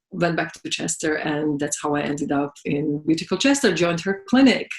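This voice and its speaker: A woman with a Slovak accent speaks in a very deep, low pitch. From Slovakia. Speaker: massage therapist and business owner. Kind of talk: interview. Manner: halting.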